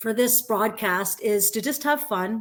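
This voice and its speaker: A woman with a Canadian accent and a normal speaking voice talks at a fairly slow pace and fairly high pitch. Her pitch varies in an ordinary way, and the recording is very clean with a silent background. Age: 50s. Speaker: online business promoter, former educator. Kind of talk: casual live-stream chat. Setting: live broadcast.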